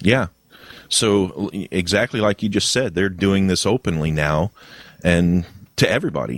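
With a dry, close sound and no echo, a man with a very deep, low pitch speaks at a moderate pace with very even loudness, ordinary pitch variation, and long, frequent pauses. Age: 50s. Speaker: podcast host. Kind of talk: casual chat. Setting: online voice call.

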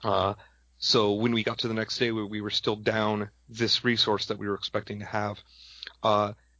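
A man speaks in a fairly low voice with a flat, monotone delivery. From Wisconsin. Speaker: tournament judge. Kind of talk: podcast interview. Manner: fast.

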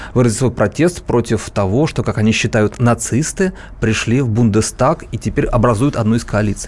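A man talks in an unremarkable speaking voice, pitched in the medium range. His pace is moderate, and his pitch variation is ordinary. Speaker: co-host, newsroom politics editor. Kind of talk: radio talk show discussion. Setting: radio studio.

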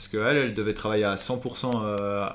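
Fairly low in pitch, this man has an unremarkable speaking voice and fairly even intonation. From Switzerland, Valais. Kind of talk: casual interview. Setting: recorded over a few beers.

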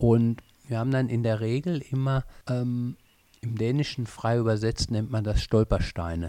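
Here is a man with a normal speaking voice and medium pitch. He keeps a moderate pace in a very clean recording with a silent background. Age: 50s. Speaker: language school teacher trainer. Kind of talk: interview. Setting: language school in Copenhagen.

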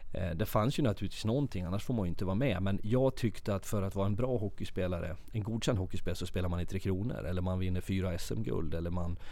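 The speech comes at a very fast pace with hardly any pauses, in a dark, mellow tone with ordinary pitch variation. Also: man, very deep, low pitch for a man. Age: 30s. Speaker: ice hockey coach. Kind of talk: casual interview.

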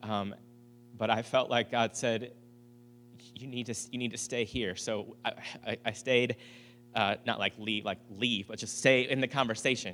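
Recorded very cleanly with a silent background, a man at a medium pitch speaks with a bright, sharp tone and monotone, flat intonation, leaving long, frequent pauses. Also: moderate pace. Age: 40s. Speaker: pastor. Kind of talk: sermon. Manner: halting, many fillers.

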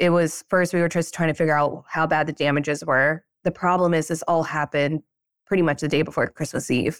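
A woman with a very deep, low pitch, monotone and flat, at a fairly quick pace with very even loudness, in a dry, close sound without echo. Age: 30s. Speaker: pediatric dentist and practice founder. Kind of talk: casual interview chat. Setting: remote call from a vacation in Mexico.

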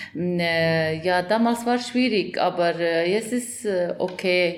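A woman's fairly low voice with a non-native accent at a very slow pace, amid audible room echo and noticeable background noise. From Afghanistan. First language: not German (speaking German). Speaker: journalist and director. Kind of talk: interview testimony. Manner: halting, many hesitations.

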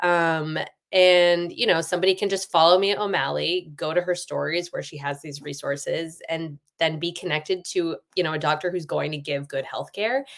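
An ordinary speaking voice from a woman, fairly low in pitch, with fairly even intonation at a moderate pace. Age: 40s. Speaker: author. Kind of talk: casual interview chat.

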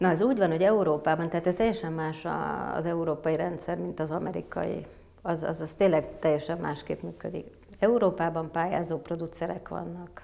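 Her voice sits fairly low, with vocal fry and fairly even intonation. The woman talks at a fairly quick pace. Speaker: film producer. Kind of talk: interview. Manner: hesitant, many fillers.

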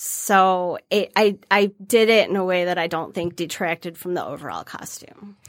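An unremarkable speaking voice from a woman, medium in pitch, at a moderate pace with fairly even intonation and big swings in loudness, in a dry, close sound with no echo and a very clean recording with a silent background. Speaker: cosplayer. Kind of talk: casual chat. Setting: studio.

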